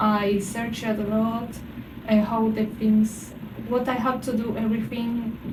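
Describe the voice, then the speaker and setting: Speech comes at a fairly slow pace amid noticeable background noise and audible room echo. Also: woman. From Argentina. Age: 30s. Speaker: student living abroad. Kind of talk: casual interview chat. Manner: hesitant, many fillers.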